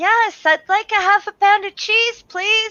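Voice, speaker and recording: At a fairly slow pace, a woman uses a put-on character voice pitched extremely high. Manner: polite, sweet.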